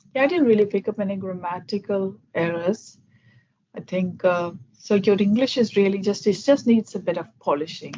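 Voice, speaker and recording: A woman with a Keralan accent, medium pitch and ordinary pitch variation. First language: Malayalam. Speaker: English conversation tutor. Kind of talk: casual chat with feedback. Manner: fast, talks without pauses.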